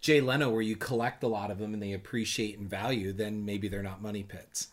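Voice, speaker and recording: A man with an American accent speaks at a moderate pace in a fairly low voice, recorded very cleanly against a silent background. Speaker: podcast co-host, history teacher. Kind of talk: casual chat. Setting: studio. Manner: loud.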